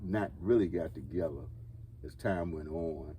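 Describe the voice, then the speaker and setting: Very slowly, a man speaks in a very deep, low pitch with ordinary pitch variation, his somewhat breathy voice dark and mellow in tone. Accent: American. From Washington, D.C., USA. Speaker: former Air Force serviceman. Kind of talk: interview answer. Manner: rambling, hesitant.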